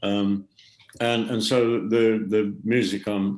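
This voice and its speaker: This is a man talking in an English accent. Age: 70s. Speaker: rock drummer. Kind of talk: podcast interview.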